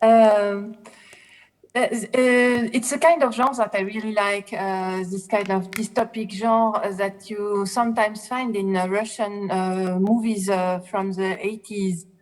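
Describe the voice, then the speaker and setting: At a fairly slow pace, a woman with a French accent speaks in a medium pitch with fairly even intonation. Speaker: film festival juror. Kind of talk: panel discussion. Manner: halting, many hesitations.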